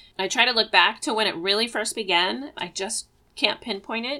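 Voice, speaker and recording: At a moderate pace, a woman speaks with a fairly high pitch and a bright, sharp tone. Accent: American. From Oregon (Eugene). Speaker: podcast co-host. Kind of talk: casual chat.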